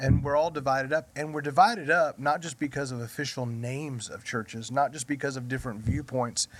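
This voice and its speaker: An unremarkable speaking voice at a fairly quick pace, with big swings in loudness, ordinary pitch variation and hardly any pauses. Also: man, fairly high pitch for a man. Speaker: pastor. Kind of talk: casual chat.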